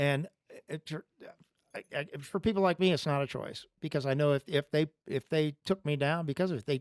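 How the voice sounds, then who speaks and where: A normal speaking voice from a man with a fairly high pitch, at a moderate pace with fairly even intonation, in a dry, close sound with no echo. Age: 60s. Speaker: podcast talk show host. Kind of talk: religious talk; casual chat.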